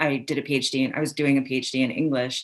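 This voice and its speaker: On a very clean recording with a silent background, a woman with an American accent speaks in a very deep, low pitch with monotone, flat intonation. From Iran, raised in the US from age five. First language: Persian. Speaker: author. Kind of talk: interview. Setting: live recorded podcast.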